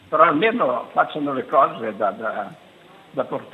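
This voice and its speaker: Noticeable background noise accompanies a man whose fairly high voice carries lively intonation. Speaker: caller. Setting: phone call.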